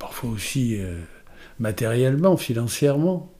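A man's dark, mellow voice at medium pitch, with lively intonation. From Paris. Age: 70s. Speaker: retired journalist. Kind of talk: interview testimony.

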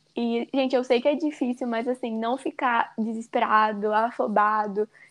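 High-pitched and fairly even in intonation, a woman's voice comes through with a dry, close sound and no echo. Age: 20s. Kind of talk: casual chat.

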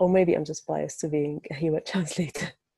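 A woman with an Arabic accent at a moderate pace, in a dry, close sound with no echo. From Egypt. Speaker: translator. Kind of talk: interview. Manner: halting, many fillers.

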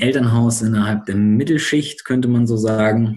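With a dark, mellow tone, the man talks at a medium pitch. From northern Germany (Bremen). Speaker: student podcast host, trained educator. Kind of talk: casual discussion podcast.

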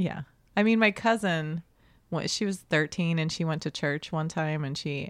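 Here is an unremarkable speaking voice: a woman with an American accent, fairly low in pitch, with ordinary pitch variation at a moderate pace. The sound is dry and close, with no echo. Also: very clean recording, silent background. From Oklahoma. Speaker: stand-up comedian. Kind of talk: casual chat.

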